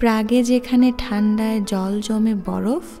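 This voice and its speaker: With music in the background, a soft-spoken woman at a fairly high pitch speaks in a calm tone with fairly even intonation. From Bengali-speaking. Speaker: ASMR reader. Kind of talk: soft-spoken ASMR book reading. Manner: calm, soft.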